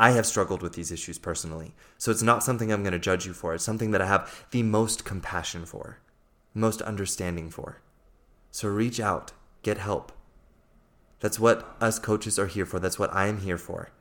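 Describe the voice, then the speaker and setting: A man with an American accent talks at a fairly quick pace and a fairly low pitch, his intonation fairly even. The recording is very clean, with a silent background. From USA. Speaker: life coach. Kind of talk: solo podcast monologue.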